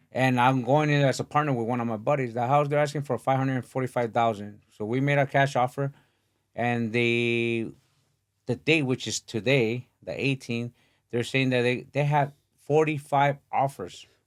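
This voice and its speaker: A man with a plain, everyday voice, medium pitch, fairly even intonation and a moderate pace. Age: 40s. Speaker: boxing podcast host. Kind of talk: casual interview chat.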